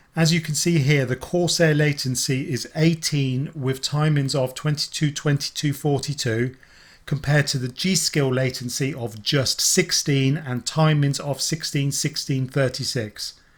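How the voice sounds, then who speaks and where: This man speaks at a fairly slow pace with hardly any pauses, his pitch fairly high. His voice is somewhat breathy, with fairly even intonation. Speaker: tech reviewer. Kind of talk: tutorial.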